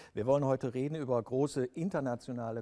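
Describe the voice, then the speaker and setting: Moderate pace and ordinary pitch variation in a man's dark, mellow tone. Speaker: TV interviewer. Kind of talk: interview. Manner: formal.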